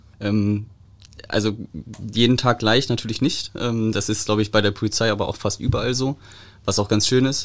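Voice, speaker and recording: A man's medium-pitched, monotone, flat delivery at a moderate pace, broken by long, frequent pauses. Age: 30s. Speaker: police press officer. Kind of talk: casual chat.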